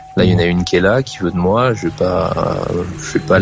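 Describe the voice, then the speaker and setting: Noticeable noise fills the background. A man talks over it at a moderate pace. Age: 30s. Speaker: caller. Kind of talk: personal testimony. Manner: halting.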